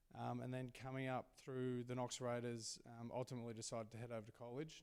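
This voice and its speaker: An Australian-accented man speaks at a fairly quick pace. His pitch sits in the medium range. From Australia, rural Victoria. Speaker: sports team CEO and former basketball player. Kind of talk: Q&A interview at a live event. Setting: stage with audience.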